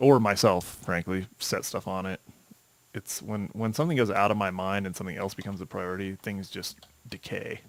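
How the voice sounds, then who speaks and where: Soft-spoken and fairly quick, a man talks at a fairly low pitch. His pitch varies in an ordinary way. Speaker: gaming video creator. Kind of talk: gameplay commentary. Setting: home desk recording. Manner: halting.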